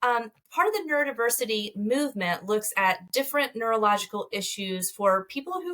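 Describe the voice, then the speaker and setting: A woman speaks in a Southern US accent at a fairly high pitch. Her tone is bright and sharp, with lively intonation. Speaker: marriage therapist. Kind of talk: interview. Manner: fast.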